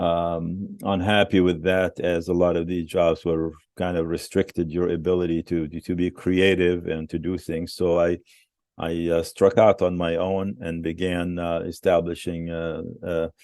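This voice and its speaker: A man's very deep, low voice with an Arabic accent, fairly slow and monotone in its flat intonation. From West Bank, Palestine. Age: 70s. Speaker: museum founder and businessman. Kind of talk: interview. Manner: halting, many fillers.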